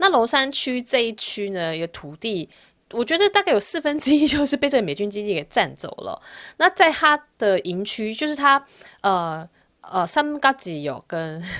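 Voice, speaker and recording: On a very clean recording with a silent background, a woman with a Taiwanese accent speaks at a fairly high pitch, with very wide pitch swings and big swings in loudness. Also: moderate pace. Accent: Taiwanese Mandarin. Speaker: podcast host. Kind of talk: solo podcast monologue. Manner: chatty, casual.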